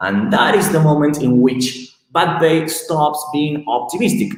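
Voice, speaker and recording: A man speaks at a moderate pace with a non-native accent and a fairly high pitch. Audible room echo surrounds his voice. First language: not English. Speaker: tech company co-founder presenting research. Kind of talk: technical presentation. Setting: live stream. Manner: halting, many fillers.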